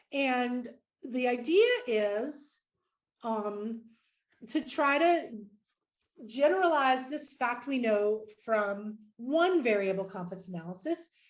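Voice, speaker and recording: A woman's high-pitched, very slow speech with lively intonation, long, frequent pauses and audible room echo. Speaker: mathematics professor. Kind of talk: lecture. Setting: virtual conference talk. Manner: hesitant fillers.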